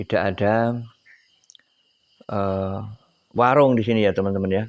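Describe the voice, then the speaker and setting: Speaking at a moderate pace, a man keeps a fairly low pitch and fairly even intonation. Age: 60s. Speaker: oil palm farmer and vlogger. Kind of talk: video vlog, casual talk to viewers. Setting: outdoors at night in a forest clearing. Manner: halting, many fillers.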